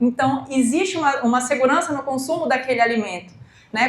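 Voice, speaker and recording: There is audible room echo around this woman's voice. She speaks with a high pitch and ordinary pitch variation. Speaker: entrepreneur and project writer for family farmers. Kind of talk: educational talk. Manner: fast.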